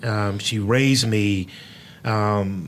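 The speaker has an American accent, and audible room echo surrounds the voice. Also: man. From Houston, Texas (Third Ward). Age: 40s. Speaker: pastor and podcast host. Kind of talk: casual interview chat. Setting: studio.

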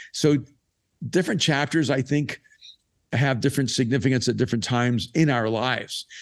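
On a very clean recording with a silent background, a man talks at a fairly quick pace and medium pitch, with ordinary pitch variation, very even loudness, and long, frequent pauses. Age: 60s. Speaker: author and pastor. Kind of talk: recorded live interview, casual conversation.

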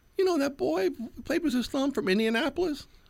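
A man puts on a character voice. It is extremely high in pitch and moves at a fairly quick pace.

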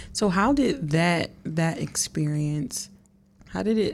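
A woman's fairly low, somewhat breathy voice at a very slow pace. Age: young. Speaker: podcast host. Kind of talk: casual interview; scripted intro.

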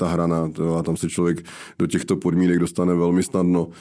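A man speaks at a fairly quick pace in a very deep, low voice, his intonation monotone and flat and his tone dark and mellow, on a very clean recording with a silent background. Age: 40s. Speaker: entrepreneur and athlete. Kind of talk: interview.

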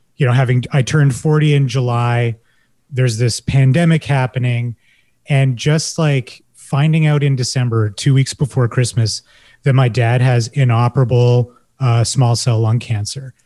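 With a Canadian accent, the speaker talks at a moderate pace in a somewhat breathy voice with a dark, mellow tone, fairly even intonation and very even loudness, in a dry, close sound with no echo. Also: man, medium pitch for a man. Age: 40s. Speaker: marketing professional and essay writer. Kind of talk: panel discussion.

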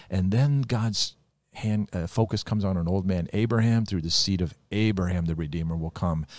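Speaking at a moderate pace with ordinary pitch variation, a man is heard on a very clean recording against a silent background. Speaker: pastor. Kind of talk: casual chat.

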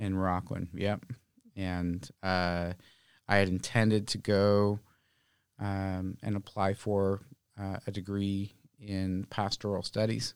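A man with an American accent speaks at a very slow pace in a fairly low, flat monotone, leaving long, frequent pauses. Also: very clean recording, silent background. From Oakland, California. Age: 30s. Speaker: restaurant owner. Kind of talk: interview.

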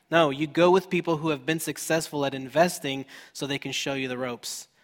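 This man has an ordinary speaking voice, with fairly even intonation and a fairly quick pace. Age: 30s. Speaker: pastor. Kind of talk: sermon.

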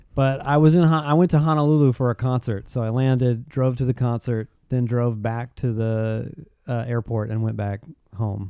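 At a moderate pace, a man speaks in a medium-pitched, dark, mellow voice with ordinary pitch variation. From US South. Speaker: podcast host and author. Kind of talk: casual interview conversation.

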